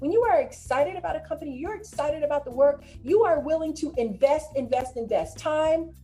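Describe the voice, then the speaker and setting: An animated tone and lively intonation over music in the background. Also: woman, high pitch for a woman, fairly quick pace, hardly any pauses. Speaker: career coach. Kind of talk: online presentation with slides. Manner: fast.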